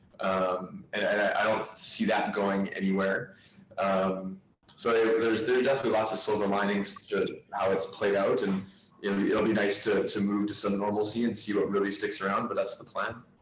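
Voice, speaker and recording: A man's voice at very even loudness, with audible room echo and music in the background. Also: moderate pace. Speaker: physiotherapist. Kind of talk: casual discussion on video call. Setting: video call. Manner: hesitant, many fillers.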